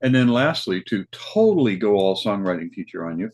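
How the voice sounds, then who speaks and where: In an American accent, an unremarkable speaking voice moves at a moderate pace with a dry, close sound and no echo. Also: man. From Kansas. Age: 60s. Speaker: open mic show host. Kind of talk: interview.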